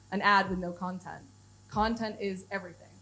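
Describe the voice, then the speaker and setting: In a room with audible echo, a woman with an American accent speaks fairly quickly at a medium pitch, somewhat breathy and with fairly even intonation. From United States. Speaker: head of content at a software company. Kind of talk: conference talk. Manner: casual, many fillers.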